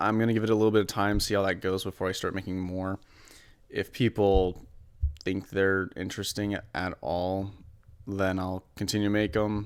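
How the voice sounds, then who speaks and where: Fairly low-pitched male voice with monotone, flat intonation. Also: moderate pace, very clean recording, silent background. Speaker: college student preparing for an engineering exam. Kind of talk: casual talk to camera, weekly vlog update.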